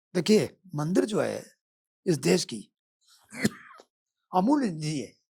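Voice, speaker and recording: Pausing long and often, a man with a fairly high pitch and a dark, mellow tone shows vocal fry, very wide pitch swings and big swings in loudness. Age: 70s. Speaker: lawyer. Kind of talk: podcast interview.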